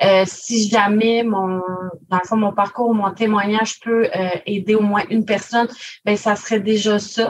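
A woman's somewhat breathy voice sits at a medium pitch. She speaks at a fairly slow pace with monotone, flat intonation. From Quebec, Gaspésie. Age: 20s. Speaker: government information clerk, spokesperson. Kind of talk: interview testimony.

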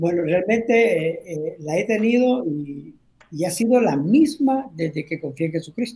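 In a dark, mellow tone, a man with a high pitch speaks at a fairly slow pace using very wide pitch swings. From Honduras (Tegucigalpa area). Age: 60s. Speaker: pastor. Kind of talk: interview testimony.

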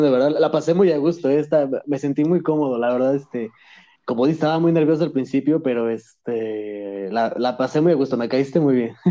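Against a quiet background, a man talks at a fairly quick pace in a fairly high pitch, his tone dark and mellow with ordinary pitch variation. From Mexico (moved from Madrid at 10). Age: 20s. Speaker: content creator. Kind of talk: casual chat.

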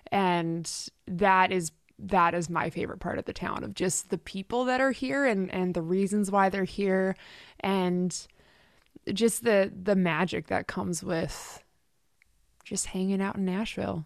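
Over a quiet background, this plain, everyday voice moves at a fairly slow pace with ordinary pitch variation. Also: woman, medium pitch for a woman. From Canada, Richmond near Vancouver. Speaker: singer-songwriter. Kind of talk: casual interview.

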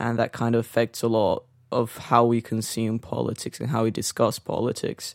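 A man is speaking at a moderate pace. His intonation is monotone and flat. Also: medium pitch for a man, dry, close sound with no echo. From Brazil (São Paulo). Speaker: podcast host. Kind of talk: casual conversation, interview-style.

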